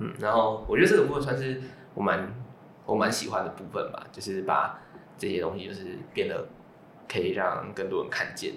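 Over noticeable background noise and audible room echo, a man speaks at a fairly quick pace with big swings in loudness and long, frequent pauses. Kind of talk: casual chat.

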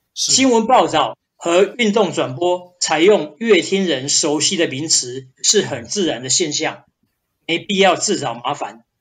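Speaking very slowly, a man uses a high pitch and lively intonation. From central Taiwan, Changhua. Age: 50s. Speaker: journalism professor. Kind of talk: interview answers.

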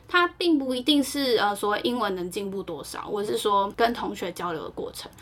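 A woman talks with hardly any pauses in a fairly high voice over noticeable background noise. Both her pitch and loudness swing widely. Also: moderate pace. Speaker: podcast co-host. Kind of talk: casual chat.

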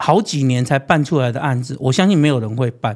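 The recording is very clean, and the background is silent. In it, a man talks. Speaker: prosecutor turned city official and political candidate. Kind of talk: interview.

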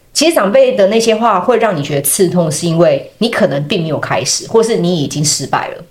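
Through noticeable background noise, a woman at medium pitch talks at a fairly quick pace with hardly any pauses and very wide pitch swings. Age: 30s. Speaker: podcast host and dating platform founder. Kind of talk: casual chat; show outro with promotion.

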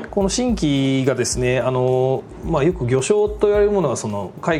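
Amid noticeable background noise and audible room echo, a man talks at a fairly quick pace. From Japan, Aichi (Toyohashi). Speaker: food company president. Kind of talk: interview. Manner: formal; hesitant fillers.

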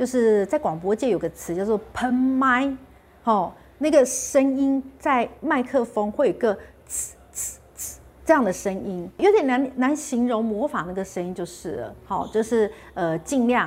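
Big swings in loudness and lively intonation mark a woman's fairly high voice at a fairly slow pace, on a very clean recording with a silent background. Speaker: health channel host. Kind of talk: casual vlog talk. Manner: clear articulation.

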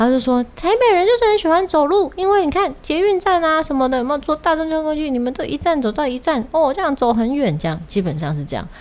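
A woman's high voice at a very fast pace with hardly any pauses and very wide pitch swings. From Taiwan, Kaohsiung. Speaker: podcast host. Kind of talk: casual chat.

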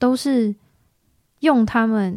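A woman's dark, mellow voice with fairly even intonation, dry and close with no echo. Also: very clean recording, silent background. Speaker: band member, singer. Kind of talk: casual interview chat.

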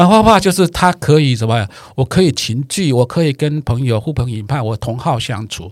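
In a very clean recording with a silent background, a man talks with very wide pitch swings. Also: medium pitch for a man, moderate pace. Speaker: watercolor painting teacher. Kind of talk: casual chat.

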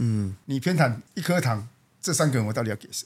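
Somewhat breathy, a man speaks at a medium pitch and a fairly quick pace. His intonation is lively. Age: 40s. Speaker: company general manager. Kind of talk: casual interview.

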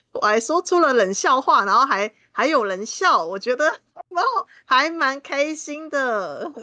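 A woman is speaking. Her pitch swings very widely. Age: 30s. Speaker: guest co-host and tarot reader. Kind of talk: casual chat.

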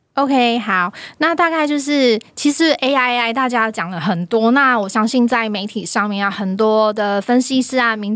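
A woman with a fairly high pitch speaks at a moderate pace, with hardly any pauses and ordinary pitch variation. The recording is very clean, with a silent background. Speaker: university finance professor. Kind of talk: casual chat.

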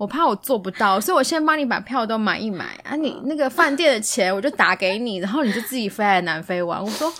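Bright and sharp in tone, the voice moves at a fairly quick pace with very wide pitch swings and hardly any pauses. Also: woman, fairly high pitch for a woman. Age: 30s. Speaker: podcast guest sharing dating stories. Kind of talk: casual chat.

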